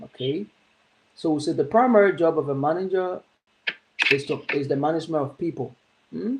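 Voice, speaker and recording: This man has a normal speaking voice with a fairly high pitch. He talks at a fairly quick pace. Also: ordinary pitch variation. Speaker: teacher. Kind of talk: lecture.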